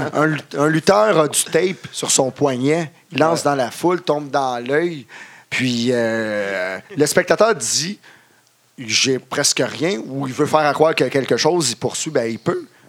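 A man with a Quebec accent talks at a fairly slow pace, his fairly high pitch carried by lively intonation. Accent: Québécois French. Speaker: wrestling ring announcer. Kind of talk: casual chat. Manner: halting.

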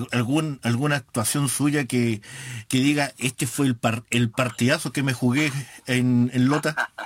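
This man speaks at a very slow pace with a medium pitch. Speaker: online radio host of a football fan show. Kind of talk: casual radio talk and interview.

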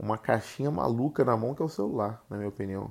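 A man's voice has a dark, mellow tone, sitting at medium pitch with ordinary pitch variation. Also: very clean recording, silent background. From Rio de Janeiro, Brazil. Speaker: podcast host. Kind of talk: casual solo monologue. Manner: halting, many fillers.

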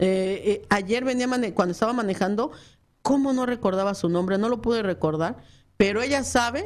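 A normal speaking voice from a woman, moderate in pace, fairly high in pitch, with ordinary pitch variation. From Mexico. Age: 40s. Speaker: businesswoman and former radio producer. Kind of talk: casual interview. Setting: radio studio.

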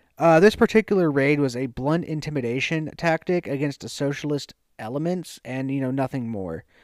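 A man with an American accent speaks at a fairly quick pace, hardly pausing, his pitch fairly high with ordinary variation. It's a plain, everyday voice, and the sound is dry and close with no echo. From US South. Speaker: podcast co-host. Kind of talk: reading an essay aloud.

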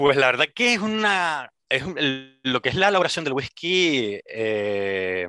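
The man's voice has a bright, sharp tone at medium pitch and a fairly slow pace. The recording is dry and close with no echo, over a quiet background. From Las Palmas de Gran Canaria, Canary Islands. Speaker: whisky industry worker and blogger. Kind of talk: interview.

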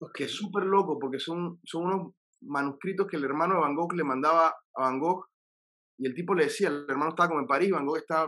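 A man talks in a fairly high voice with a bright, sharp tone and ordinary pitch variation. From Panama. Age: 40s. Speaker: singer-songwriter. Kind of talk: casual interview. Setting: his recording studio.

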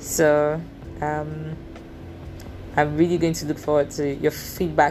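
A Nigerian accent at a fairly slow pace, with noticeable background noise. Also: woman. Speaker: podcast host. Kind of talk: personal monologue. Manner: halting.

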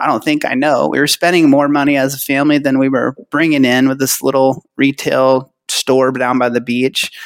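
An unremarkable speaking voice with an American accent at a moderate pace. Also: man. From California. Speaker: retirement plan business owner. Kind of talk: interview. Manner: casual.

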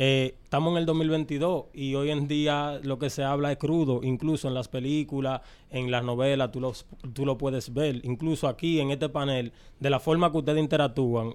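In a normal speaking voice, a man talks at a moderate pace and a fairly high pitch with fairly even intonation. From Dominican Republic, born in Queens. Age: 20s. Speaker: urban music artist. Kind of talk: interview.

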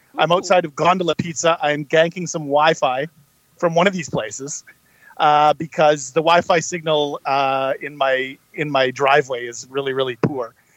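In a dry, close recording with no echo, a man with a normal speaking voice talks at a moderate pace and fairly high pitch, his intonation fairly even but his loudness swinging widely. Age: 40s. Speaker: podcast co-host. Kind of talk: casual chat. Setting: in a car outside a pizza place.

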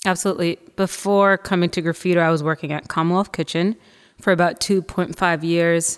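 A woman's fairly low-pitched, ordinary speaking voice at a moderate pace, on a very clean recording with a silent background. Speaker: new team member. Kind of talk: casual chat.

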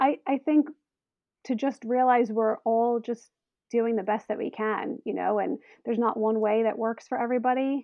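A woman speaks in an ordinary speaking voice at a moderate pace. Her pitch sits fairly high, and her intonation stays fairly even. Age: 40s. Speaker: stay-at-home mom. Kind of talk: interview.

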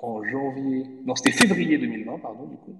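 This man talks at a fairly high pitch. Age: 30s. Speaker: manga publisher. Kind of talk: casual interview. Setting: online audio space from home office. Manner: animated. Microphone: echo from empty room.

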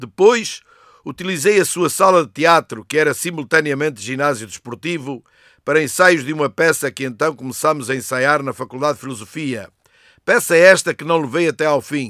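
A man with a fairly high pitch and a bright, sharp tone speaks at a moderate pace with ordinary pitch variation. The recording is very clean with a silent background and a dry, close sound with no echo. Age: 70s. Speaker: retired teacher. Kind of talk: reading aloud own poem; scripted narration.

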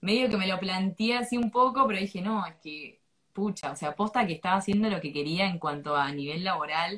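At a fairly quick pace, a woman with a medium pitch and lively intonation speaks in a normal speaking voice. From Argentina. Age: 20s. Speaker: English teacher. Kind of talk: interview. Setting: live stream.

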